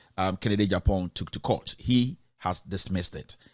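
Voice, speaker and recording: A man speaks at a moderate pace in a Ghanaian accent. The recording is very clean, with a silent background. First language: Twi. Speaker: online news commentator. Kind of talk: news commentary, reading a court ruling. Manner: hesitant, with many fillers.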